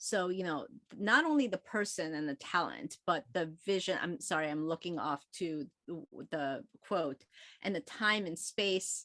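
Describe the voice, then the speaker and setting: A woman with an American accent talks at a fairly slow pace in a medium pitch, her intonation lively and her tone bright and sharp, with a dry, close sound and no echo. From South Korea, came to US at 11. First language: Korean. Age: 50s. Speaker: author. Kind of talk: book club interview.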